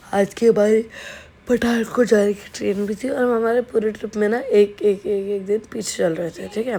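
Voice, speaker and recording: A woman speaks at a moderate pace with fairly even intonation against noticeable background noise. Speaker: travel vlogger. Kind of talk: voice-over narration. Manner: casual, chatty.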